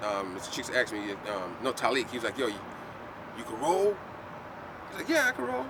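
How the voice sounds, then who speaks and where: Over noticeable background noise, a man with an American accent and medium pitch talks at a fairly quick pace with big swings in loudness. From US Virgin Islands (St Croix). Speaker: artist and set designer. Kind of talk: casual chat. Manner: animated.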